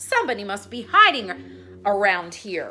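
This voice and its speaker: A woman does a put-on character voice at a medium pitch and a moderate pace. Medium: read story.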